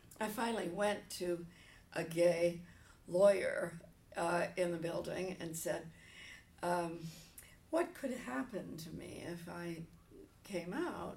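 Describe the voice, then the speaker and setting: In an American accent, a woman with a fairly low pitch speaks at a very slow pace with ordinary pitch variation, big swings in loudness, long, frequent pauses and audible room echo. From New Jersey. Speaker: retired pastor. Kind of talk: interview.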